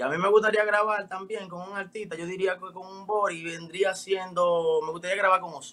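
Amid noticeable background noise, a man with a Dominican accent speaks in a raised, projected voice, high-pitched with fairly even intonation, at a moderate pace and with big swings in loudness. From Dominican Republic. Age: 20s. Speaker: urban music artist. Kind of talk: casual interview.

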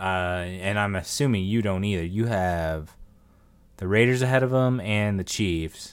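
A man's fairly low voice at a fairly slow pace, with ordinary pitch variation and audible room echo. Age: 30s. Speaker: podcast co-host. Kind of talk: casual chat.

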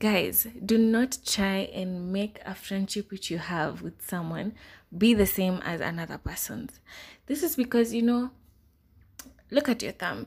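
A woman talks at a fairly slow pace in a somewhat breathy voice. The recording is very clean, with a silent background. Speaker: podcast host. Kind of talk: casual solo podcast talk. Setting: solo podcast recording.

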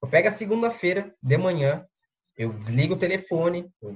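Speaking at a moderate tempo, the man has a somewhat breathy voice. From southern Brazil, Porto Alegre metro area. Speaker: English teacher and online content creator. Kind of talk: casual interview on a live stream.

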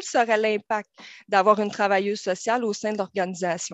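A woman speaks at a medium pitch in a Saguenay accent. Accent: Saguenay Quebec French. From Quebec, Saguenay. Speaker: police social worker. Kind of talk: radio panel discussion. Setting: studio.

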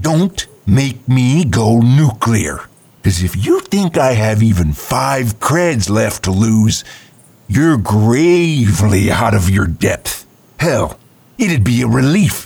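A gruff man speaks at a very slow pace and a medium pitch. His loudness stays very even while his pitch swings very widely. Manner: gruff, defiant bravado.

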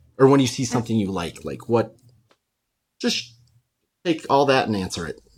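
A man's medium-pitched voice with vocal fry, lively intonation and long, frequent pauses. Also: moderate pace. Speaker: podcast co-host. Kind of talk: casual interview chat. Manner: joking, animated.

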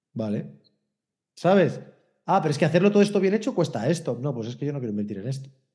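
A man with a Spanish accent, a fairly high pitch, a dark, mellow tone and vocal fry, very wide pitch swings, a very fast pace and long, frequent pauses. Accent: Spanish (Spain). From Spain. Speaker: HR innovation consultant. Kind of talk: interview conversation.

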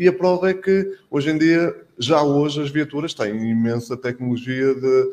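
A man speaks in a normal speaking voice, fairly high in pitch. His pitch varies in an ordinary way. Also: fairly slow pace. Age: 40s. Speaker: public relations manager at car dealer. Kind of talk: panel discussion.

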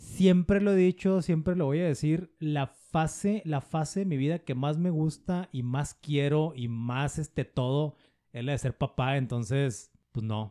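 A man speaks with a fairly high pitch and a dark, mellow tone, his pitch varying in an ordinary way, in a dry, close recording with no echo. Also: fairly slow pace, quiet background. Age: 40s. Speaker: podcast host. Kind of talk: casual chat.

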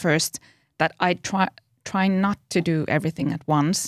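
A plain, everyday voice from a woman, fairly low in pitch and fairly slow, recorded dry and close with no echo. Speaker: podcast host. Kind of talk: casual interview chat. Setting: studio.

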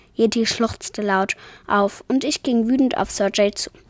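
Someone reads aloud in a natural voice.

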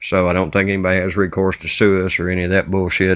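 A man with a Kentucky accent talks at a very fast pace in a very deep, low voice. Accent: Southern US (Kentucky). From Kentucky, US. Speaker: podcast host and singer-songwriter. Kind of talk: casual solo podcast intro. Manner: talkative, chatty.

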